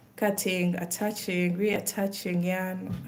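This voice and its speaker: Very slow speech from a woman with an East African accent, medium in pitch and monotone, flat in intonation. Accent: East African, mistaken for Kenyan by viewers. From Uganda. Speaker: crochet content creator. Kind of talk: casual live stream chat while crafting. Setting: livestream.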